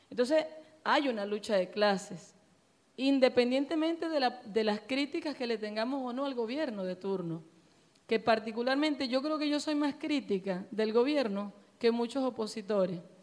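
Her intonation rises and falls in a lively way. This woman's voice sits high in pitch. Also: moderate pace. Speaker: political activist, audience member. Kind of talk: audience Q&A discussion.

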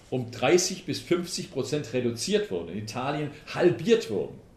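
Amid audible room echo, a man talks at a moderate pace with very wide pitch swings. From Swabia, southern Germany. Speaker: politician and transport expert. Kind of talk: public lecture. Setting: town hall talk with audience.

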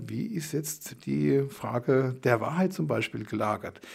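The recording is very clean, with a silent background. A man speaks in a somewhat breathy voice. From Germany. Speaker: theology professor. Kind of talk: interview.

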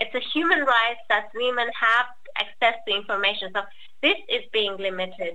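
A woman speaks at a moderate pace. She has a Persian accent. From Iran. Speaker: activist. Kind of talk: talk. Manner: halting.

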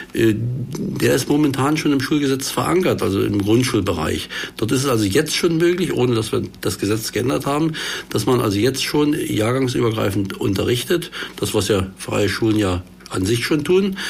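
Amid noticeable background noise and audible room echo, a man talks at a moderate pace in a medium pitch, with very wide pitch swings and very even loudness. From eastern Saxony, Germany (Görlitz district). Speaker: politician, party education spokesman. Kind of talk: panel discussion. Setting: studio.

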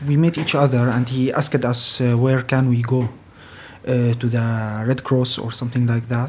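A man at medium pitch, flat and monotone, moving at a moderate pace over noticeable background noise. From Syria. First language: Arabic. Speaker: refugee carpenter. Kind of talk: interview.

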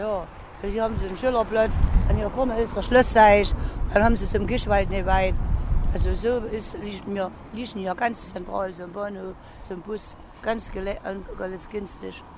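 Against noticeable background noise and audible room echo, a woman speaks with fairly even intonation. Her loudness swings widely, and she takes long, frequent pauses. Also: medium pitch for a woman, moderate pace. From Chemnitz, Saxony. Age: 60s. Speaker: pensioner, passer-by. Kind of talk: street interview.

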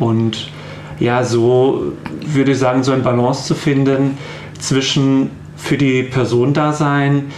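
Long, frequent pauses mark this very slow delivery, heard with audible room echo and noticeable background noise. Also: man. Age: 30s. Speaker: psycho-oncologist, counselling centre head. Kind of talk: radio interview. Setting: radio studio.

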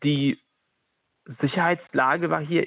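A man talks at a moderate pace in a fairly high pitch, with fairly even intonation. The sound is dry and close, with no echo. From Ukraine. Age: 30s. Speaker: anti-discrimination worker and activist. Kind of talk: interview.

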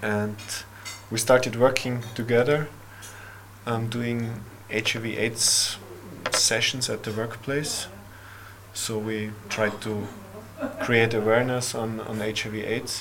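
Over noticeable background noise and audible room echo, a man at medium pitch speaks very slowly in a monotone, flat intonation, with long, frequent pauses. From Austria. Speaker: development worker and event organiser. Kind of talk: casual interview conversation.

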